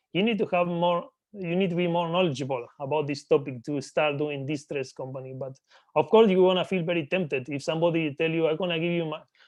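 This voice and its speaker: In a Spanish accent, the speech runs at a very fast pace with ordinary pitch variation. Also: man, fairly high pitch for a man. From Argentina. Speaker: business acquisitions entrepreneur. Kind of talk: interview.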